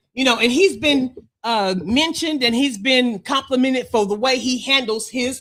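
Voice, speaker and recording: Her voice is high-pitched, with an animated tone and lively intonation. The woman keeps a moderate pace. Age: 60s. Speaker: sports podcast co-host. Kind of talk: casual sports debate.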